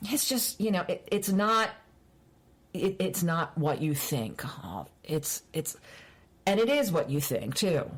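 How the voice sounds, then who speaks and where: A woman with an American accent, medium pitch, very wide pitch swings, vocal fry, a very slow pace and long, frequent pauses. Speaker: librarian and former radio personality. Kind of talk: casual interview chat.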